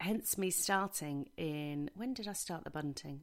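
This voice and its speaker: A woman with an English accent, fairly low in pitch and fairly slow, with very wide pitch swings, on a very clean recording with a silent background. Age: 40s. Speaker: podcast host. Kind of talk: casual monologue. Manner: rambling, chatty.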